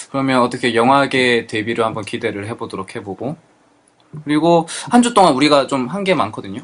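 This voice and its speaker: Fairly quick speech from a man at a medium pitch, with ordinary pitch variation. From South Korea, Pohang (Gyeongsang). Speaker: podcast host. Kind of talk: casual chat.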